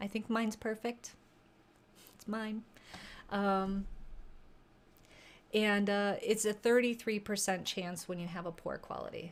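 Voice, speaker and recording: A woman talks at a fairly slow pace with long, frequent pauses. Her intonation is monotone and flat at a medium pitch. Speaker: livestream host sharing infertility journey. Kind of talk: casual livestream chat. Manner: hesitant, many fillers.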